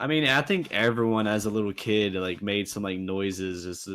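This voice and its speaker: A man talks at a moderate pace in a fairly low pitch. He has a slight Southern US accent. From South Carolina, USA. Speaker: beatboxer and looper. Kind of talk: casual interview.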